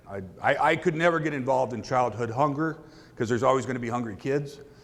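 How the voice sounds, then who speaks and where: At a fairly quick pace, a man of medium pitch talks with ordinary pitch variation amid audible room echo. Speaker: donkey rescuer. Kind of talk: conference talk. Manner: loud.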